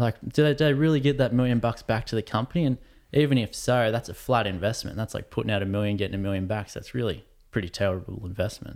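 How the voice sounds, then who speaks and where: Speaking at a very fast pace with an Australian accent, a man keeps a medium pitch and ordinary pitch variation on a very clean recording with a silent background. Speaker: professional surfer. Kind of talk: casual chat.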